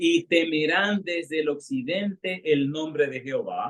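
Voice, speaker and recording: A man speaks in a plain, everyday voice at a fairly high pitch. His intonation is lively. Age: 60s. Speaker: retired pastor. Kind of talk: sermon.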